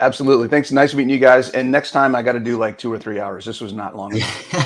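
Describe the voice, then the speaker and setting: A man at a very fast pace with fairly even intonation, big swings in loudness and noticeable background noise. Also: medium pitch for a man. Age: 50s. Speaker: fitness coach. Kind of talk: casual interview chat.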